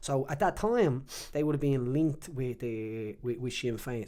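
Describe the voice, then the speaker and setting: The tone is dark and mellow. It belongs to a male speaker. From Ireland, Dublin (Jobstown). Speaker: retired MMA fighter and politician. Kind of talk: casual interview chat. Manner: animated.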